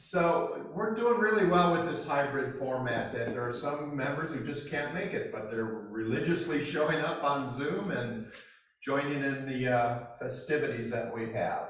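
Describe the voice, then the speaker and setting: A man's fairly high voice with lively intonation at a fairly slow pace, with audible room echo. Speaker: club meeting presider. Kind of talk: club announcements. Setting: club meeting room, hybrid with Zoom. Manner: loud. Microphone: room mic sometimes crackly.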